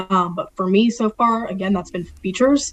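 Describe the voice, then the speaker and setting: Speaking at a moderate pace, a woman with a strong Philadelphia accent has a medium pitch. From Philadelphia area, Delaware County, Pennsylvania. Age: 20s. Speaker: sports media production assistant. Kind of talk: casual interview. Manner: animated.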